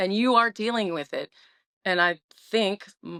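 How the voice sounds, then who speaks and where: Loud and bright with a sharp tone, the voice comes through a dry, close sound with no echo on a very clean recording with a silent background. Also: woman. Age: 50s. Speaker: guest sharing recovery story. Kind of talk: interview testimony. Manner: animated.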